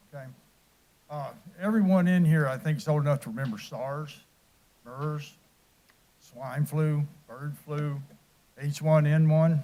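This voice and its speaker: A man with a fairly high pitch and a dark, mellow, somewhat breathy tone speaks at a fairly slow pace with ordinary pitch variation. He leaves long, frequent pauses, and his loudness swings widely. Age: 60s. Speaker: military veteran, public commenter. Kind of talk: public comment speech. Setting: council chamber.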